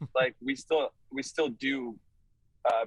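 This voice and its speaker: With a slight Canadian accent, a man at a medium pitch talks at a moderate pace with fairly even intonation, the sound dry and close with no echo. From Canada, Toronto area (Vaughan). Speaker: rock musician. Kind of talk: casual interview. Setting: video call from a touring van. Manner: hesitant, many fillers.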